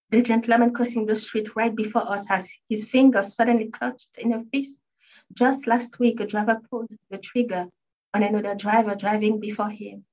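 This woman has a fairly high pitch and a somewhat breathy voice. Her intonation is monotone and flat. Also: fairly quick pace. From Haiti. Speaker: author. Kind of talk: reading aloud. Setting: stage with audience.

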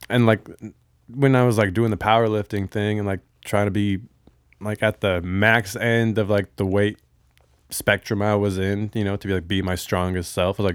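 With an unremarkable speaking voice, this man talks at a moderate pace, fairly low in pitch and fairly even in intonation, on a very clean recording with a silent background and a dry, close sound with no echo. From Bellevue, Washington, US. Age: 30s. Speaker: strength coach and yoga teacher, guest. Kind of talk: casual chat.

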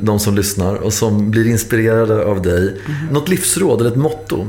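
Amid noticeable background noise and audible room echo, a man with a medium pitch speaks at a moderate pace with lively intonation. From Stockholm. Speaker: podcast host. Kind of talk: interview.

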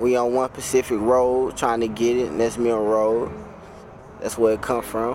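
With noticeable background noise behind him, a man at medium pitch speaks at a moderate pace and fairly even intonation. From North Carolina. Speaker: rap artist. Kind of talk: live interview. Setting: live venue.

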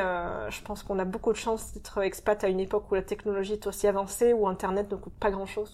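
Recorded very cleanly with a silent background, a woman talks at a fairly quick pace and medium pitch in a monotone, flat intonation. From France, Marseille. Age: 30s. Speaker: expatriate. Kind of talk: interview. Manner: frequent hesitations.

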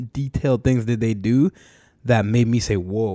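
A man speaks at a fairly slow pace in a dark, mellow tone with a medium pitch and ordinary pitch variation. The recording is very clean with a silent background, and the sound is dry and close with no echo. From Canada, Brampton, Ontario (Ghanaian family). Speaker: rapper and event promoter. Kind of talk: casual interview chat.

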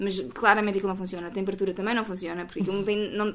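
A woman at medium pitch with vocal fry, speaking at a very fast pace. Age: 20s. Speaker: sustainability communicator. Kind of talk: casual interview chat. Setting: at home.

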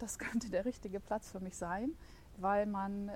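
This is a normal speaking voice with ordinary pitch variation, moving at a moderate pace. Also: woman. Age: 50s. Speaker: marketing assistant and virtual collaboration coach. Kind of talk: podcast interview. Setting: studio.

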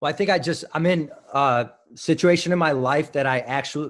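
A man's moderately paced speech over a quiet background. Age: 30s. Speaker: wrestling coach. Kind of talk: interview. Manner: halting.

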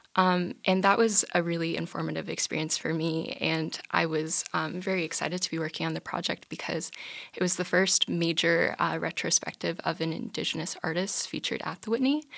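A woman speaks at a fairly quick pace with vocal fry and ordinary pitch variation. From North Dakota. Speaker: art history student. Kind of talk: interview.

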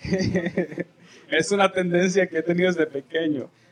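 Noticeable background noise sits behind the speaker. He is a man talking at a moderate pace. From El Salvador. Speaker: pastor. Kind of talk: sermon. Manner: animated.

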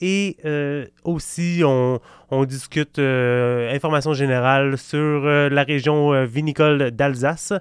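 A man with a Quebec accent speaks at a fairly high pitch in a very clean recording with a silent background and a dry, close sound with no echo. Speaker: wine podcast host. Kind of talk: casual chat. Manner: halting.

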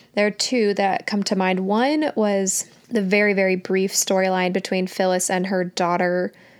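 Heard here is a plain, everyday voice. It moves at a fairly slow pace. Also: woman. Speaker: podcast host. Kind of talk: casual chat. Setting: video call.

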